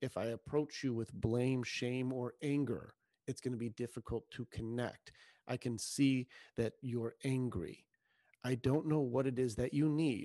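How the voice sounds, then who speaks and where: Over a quiet background, a dark, mellow tone comes through at a fairly slow pace with fairly even intonation and a dry, close sound with no echo. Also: man, medium pitch for a man. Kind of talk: heated rant. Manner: fervent, emphatic, sermon-like.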